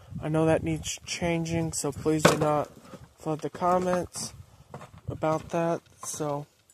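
Noticeable background noise sits under a dry sound with no echo. A man speaks at a fairly slow pace. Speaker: rural vlogger. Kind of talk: casual vlog chat. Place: open country. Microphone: phone near.

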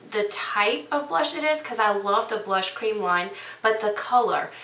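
A woman speaks at a fairly slow pace with lively intonation. Noticeable background noise and audible room echo fill the recording. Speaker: beauty vlogger. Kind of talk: product review tutorial. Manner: casual, frequent fillers.

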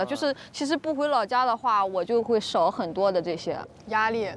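A woman speaks at a fairly quick pace. The sound is dry with no echo, but noticeable background noise runs underneath. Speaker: stand-up comedian. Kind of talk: casual chat about life and work. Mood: relaxed, reflective. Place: open country. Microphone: lapel.

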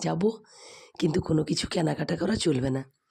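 The voice has a dark, mellow tone, a somewhat breathy quality and fairly even intonation. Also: woman. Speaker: food and family vlogger. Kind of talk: vlog voiceover narration.

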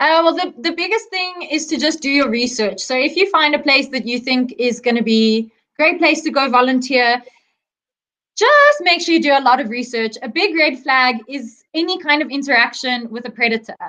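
A woman with a bright, sharp tone and high pitch speaks at a moderate pace in a raised, projected voice. Her pitch varies in an ordinary way against a quiet background. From South Africa. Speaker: wildlife volunteer and veterinary student; interview guest. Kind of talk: interview. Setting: video call. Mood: warm, earnest. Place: home room. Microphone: video call.

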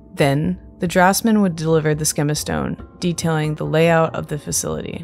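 A woman talks in a calm, soothing tone at a moderate pace. Music plays behind her. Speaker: Zelda lore YouTuber. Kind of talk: sleep-aid lore narration.

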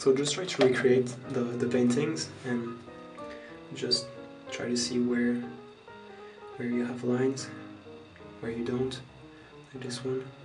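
Clear music plays behind a man with a French accent. He speaks fairly slowly with fairly even intonation and long, frequent pauses. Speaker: makeup tutorial maker. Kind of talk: casual makeup tutorial talk to camera. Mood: friendly, relaxed. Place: home room. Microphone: phone near.

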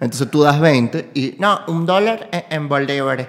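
Over a quiet background, a man with a Caracas accent speaks at a fairly high pitch. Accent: Venezuelan Spanish (Caracas). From Venezuela. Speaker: podcast host and comedian; podcast host, comedian. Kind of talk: casual conversational interview. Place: home room. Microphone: studio mic.

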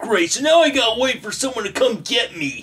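This is a cartoonish character voice at a fairly high pitch. The tone sounds nervous. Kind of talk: comic puppet sketch. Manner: cocky, then nervous.

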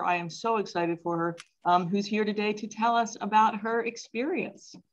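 A woman talks in an unremarkable speaking voice at a fairly high pitch. Her pace is moderate and her pitch variation ordinary. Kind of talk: interview host introduction.

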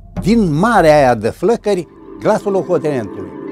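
A man's fairly slow speech comes with clear background music behind it. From Romania. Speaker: WWII fighter pilot veteran, general and writer. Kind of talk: interview answer. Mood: reminiscing, emotional in parts. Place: home room.

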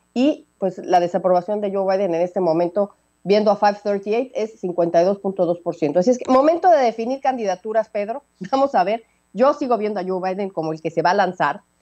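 The voice has a dark, mellow tone and moves at a fairly quick pace. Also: woman, medium pitch for a woman, ordinary pitch variation.

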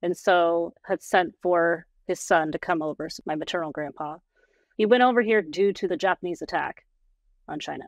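A woman with an American accent speaks at a moderate pace and fairly low pitch with ordinary pitch variation. The sound is dry with no echo, and the background is quiet. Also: big swings in loudness. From Portland, Oregon, USA. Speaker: podcast guest, administrative professional. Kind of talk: podcast interview answer. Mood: calm, reflective. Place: home room. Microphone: video call.

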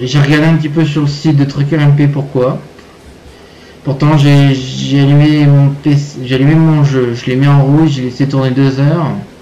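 A man's fairly slow, monotone, flat delivery amid audible room echo and noticeable background noise. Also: fairly high pitch for a man. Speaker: gaming YouTuber. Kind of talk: gameplay commentary. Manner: hesitant, many fillers.

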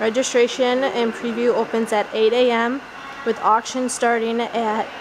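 A woman talks at a fairly slow pace. Noticeable background noise runs beneath her voice. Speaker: auction house staff member giving a preview walkthrough. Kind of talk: auction preview walkthrough talking to camera. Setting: indoors in a warehouse. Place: garage. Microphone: phone near.

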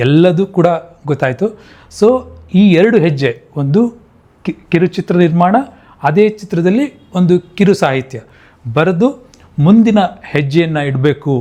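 The tone is dark and mellow, with lively intonation and very even loudness. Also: man, high pitch for a man. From Mandya district, Karnataka, India. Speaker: software engineer and film producer. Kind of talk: monologue to camera.

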